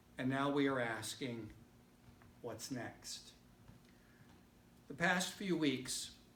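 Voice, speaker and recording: Long, frequent pauses break up a man's very slow speech, which has ordinary pitch variation. Audible room echo is present. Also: medium pitch for a man. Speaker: missionary. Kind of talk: church talk. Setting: church. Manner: loud.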